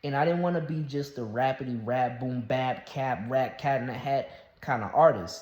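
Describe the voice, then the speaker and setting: The man's pitch sits in the medium range. His voice is somewhat breathy. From US South. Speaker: YouTuber and rapper. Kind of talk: casual vlog monologue. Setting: solo talking to camera. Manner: halting, many fillers and restarts.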